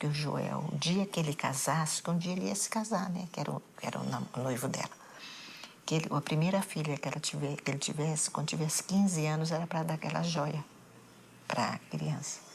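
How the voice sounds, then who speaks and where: Moderately paced speech from a woman, very deep and low in pitch, with ordinary pitch variation. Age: 70s. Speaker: bereaved mother. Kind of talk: interview testimony.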